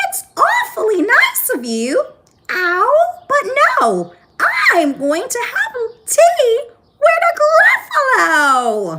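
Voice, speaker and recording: A squeaky put-on character voice at an extremely high pitch swings very widely in pitch. It moves at a very slow pace with long, frequent pauses. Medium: read story. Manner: polite, confident.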